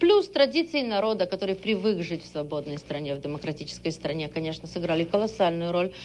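A female voice is heard. It swings very widely in pitch. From Odessa, Ukraine (USSR). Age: 30s. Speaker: economist and former interpreter. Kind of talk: interview.

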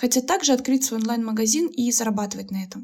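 A woman's voice with ordinary pitch variation. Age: 20s. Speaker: podcast host, entrepreneur and blogger. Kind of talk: solo podcast monologue.

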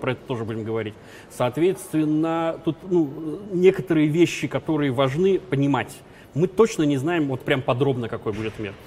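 This man has an unremarkable speaking voice with fairly high pitch. He speaks at a moderate pace with lively intonation. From former Soviet Union. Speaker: business trainer. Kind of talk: interview.

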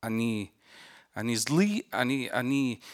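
Speaking with an Arabic accent, a man uses lively intonation at a medium pitch. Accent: Arabic-accented Russian. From Lebanon. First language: Arabic (speaking Russian). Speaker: film director and war correspondent. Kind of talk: panel discussion.

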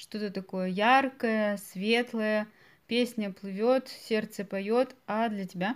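A very clean recording with a silent background captures a woman with a fairly high pitch. She speaks at a very slow pace with fairly even intonation. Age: 20s. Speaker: podcast host, Russian language teacher. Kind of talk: language-learning podcast interview. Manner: slow and clear for learners.

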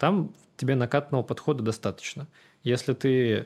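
In a very clean recording with a silent background, a man speaks at a moderate pace and medium pitch with ordinary pitch variation. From Russia, Samara. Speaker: tech executive. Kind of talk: interview.

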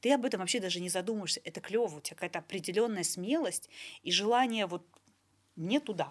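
In a very clean recording with a silent background, a woman of medium pitch talks at a very fast pace broken by long, frequent pauses. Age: 40s. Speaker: podcast host. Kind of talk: casual chat.

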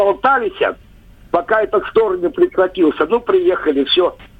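His pitch swings very widely from high to low. The man's delivery is fairly slow. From Russian village. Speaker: caller. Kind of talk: phone-in storytelling. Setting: phone call.

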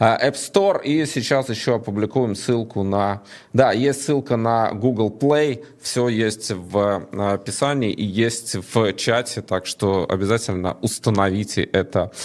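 This man has an unremarkable speaking voice, pitched at a medium level, moving at a fairly slow pace with ordinary pitch variation. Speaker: online show host. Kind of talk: live stream talk. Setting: studio.

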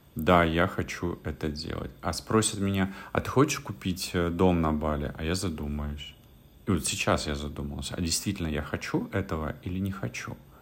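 A man speaks at a very deep, low pitch. His pace is moderate, with ordinary pitch variation. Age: 30s. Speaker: blogger and coach. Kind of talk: monologue vlog.

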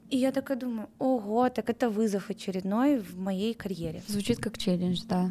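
A woman's fairly high, somewhat breathy voice with a dark, mellow tone, ordinary pitch variation, a moderate pace and hardly any pauses. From Russia, Saint Petersburg. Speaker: recruitment manager. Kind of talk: interview.

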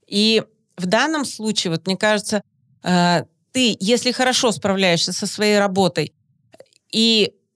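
Speaking at a fairly slow pace, a woman uses a medium pitch with ordinary pitch variation. The sound is dry and close, with no echo. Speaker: mother and podcast co-host. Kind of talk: casual chat.

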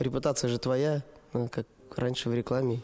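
At a fairly quick pace, a man talks in an ordinary speaking voice of medium pitch with fairly even intonation. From Russia, Perm. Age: 30s. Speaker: dance studio owner and event organizer. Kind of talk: casual interview chat. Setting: studio.

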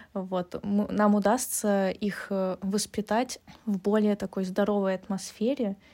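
Recorded very cleanly against a silent background, a woman speaks at a very slow pace in a dark, mellow tone. Her medium pitch stays monotone and flat. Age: 20s. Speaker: podcast co-host, AI researcher. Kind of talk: casual chat.

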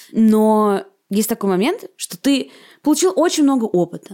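Lively intonation marks a woman's dark, mellow voice, heard on a very clean recording with a silent background. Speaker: podcast host. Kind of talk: podcast interview.

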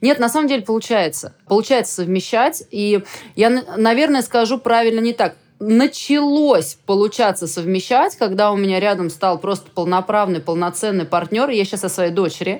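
A woman speaks in a normal speaking voice. Her medium pitch carries lively intonation at a moderate pace. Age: 40s. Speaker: equestrian sport official. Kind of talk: casual chat.

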